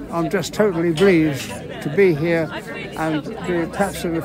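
A man speaks at a fairly slow pace. The sound is dry with no echo, but there is noticeable background noise. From Salisbury, Wiltshire, England. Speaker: rambler, war veteran. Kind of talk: interview answer. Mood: cheerful, pleased, modest. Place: open country.

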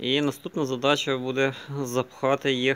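At a fairly slow pace, a man gets his words out. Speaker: vlogger. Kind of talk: casual vlog chat. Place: street. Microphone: phone near.

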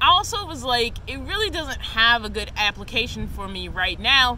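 Over light background noise, a woman's voice comes through dry, with no echo. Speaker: van life vlogger. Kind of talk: casual vlog chat / product review. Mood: relaxed, a bit apologetic. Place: open country.

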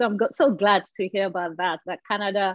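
Fairly even intonation from a woman at a moderate pace, against a quiet background with a dry sound and no echo. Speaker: interviewer. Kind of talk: interview. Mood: warm, friendly. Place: home room. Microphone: earbuds.

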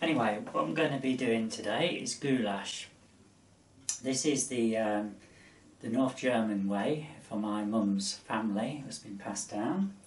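Fairly slow male speech in a room with audible echo. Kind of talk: cooking tutorial. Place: kitchen. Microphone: camera far.

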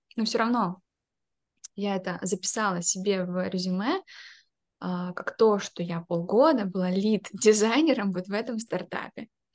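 Long, frequent pauses from a woman at a moderate pace, medium in pitch with ordinary pitch variation, against a quiet background. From Ukraine. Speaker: product designer; interviewee. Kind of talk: interview answer. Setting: video call. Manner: anxious, hesitant. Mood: calm, reflective. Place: home room. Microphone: webcam.

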